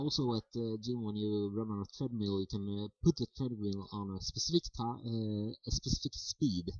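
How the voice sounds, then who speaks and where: The speaker has a Swedish accent, a moderate pace and ordinary pitch variation. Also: man, medium pitch for a man, hardly any pauses. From Sweden. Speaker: vlogger. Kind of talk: casual monologue to camera. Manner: halting, many fillers.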